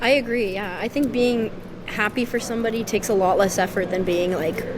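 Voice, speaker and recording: A woman talks with a fairly high pitch and ordinary pitch variation. Noticeable background noise runs underneath. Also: fairly quick pace. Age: 20s. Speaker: musician. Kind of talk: casual chat.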